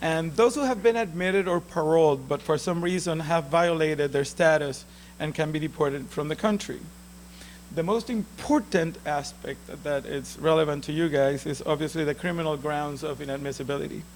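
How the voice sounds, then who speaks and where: At a fairly quick pace, a man with a Puerto Rican accent speaks with ordinary pitch variation. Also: fairly high pitch for a man. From Puerto Rico. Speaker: immigration lawyer. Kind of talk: lecture. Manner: halting.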